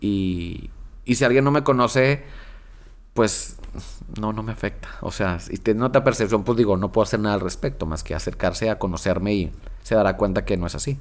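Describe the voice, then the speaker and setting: Speaking fairly quickly in an ordinary speaking voice, a man has a fairly low pitch and ordinary pitch variation. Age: 30s. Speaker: magazine director. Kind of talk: casual chat. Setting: studio.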